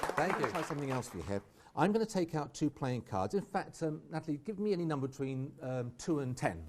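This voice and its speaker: A man with an English accent, fairly high pitch and lively intonation, at a very fast pace over noticeable background noise. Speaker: magician. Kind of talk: live magic performance. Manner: animated.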